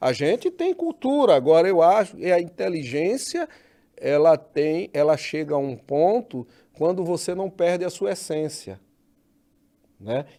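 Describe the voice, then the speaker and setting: A man speaks in a northeastern Brazilian accent with a high pitch and a dark, mellow tone. His pace is fairly slow and his intonation lively. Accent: northeastern Brazilian, kept. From Northeast Brazil. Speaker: podcast host. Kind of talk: interview.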